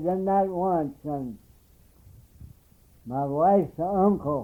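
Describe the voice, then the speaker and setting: A man's dark, mellow voice at a very slow pace. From Wabash County, Indiana. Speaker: retired farmer. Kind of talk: oral history interview answer. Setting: cassette tape recording at home.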